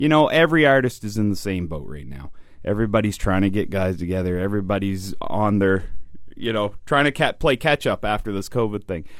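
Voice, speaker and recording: Fairly low in pitch, this man has a plain, everyday voice. He speaks at a fairly quick pace with lively intonation. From New Brunswick, Canada. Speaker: country singer. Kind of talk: radio interview. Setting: radio studio.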